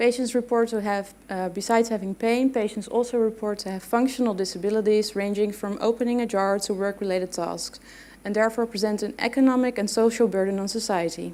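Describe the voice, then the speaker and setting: Speaking very fast with hardly any pauses, a woman with a non-native accent uses fairly even intonation, her fairly high voice carrying a dark, mellow tone. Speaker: physiotherapy researcher and lecturer. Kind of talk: conference presentation. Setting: stage with audience.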